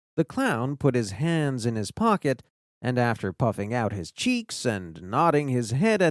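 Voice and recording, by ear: Against a quiet background, a speaker is reading aloud in a natural voice.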